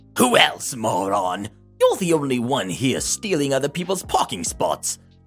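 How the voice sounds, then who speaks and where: With faint music in the background, a man performs a put-on character voice at medium pitch and a moderate pace, his pitch swinging very widely. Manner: entitled, shouting, insulting.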